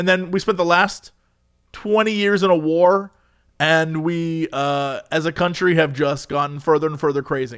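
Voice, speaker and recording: A man with a plain, everyday voice and an American accent talks at a moderate pace, fairly high-pitched for a man with ordinary pitch variation, in a very clean recording with a silent background. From US. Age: 30s. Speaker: podcast co-host. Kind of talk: casual chat.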